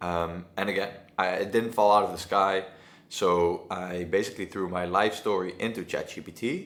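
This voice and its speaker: With a Dutch accent, a man speaks at a moderate pace in a very deep, low pitch, using monotone, flat intonation and big swings in loudness. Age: 20s. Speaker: agency owner. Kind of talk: casual talk to camera. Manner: halting.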